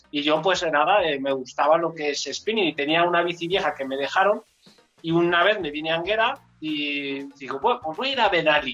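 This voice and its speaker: This man talks at a fairly quick pace in a plain, everyday voice. His pitch sits fairly high for a man, with ordinary pitch variation. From Enguera, Valencia region, Spain. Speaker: amateur cyclist, former basketball player. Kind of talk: casual chat.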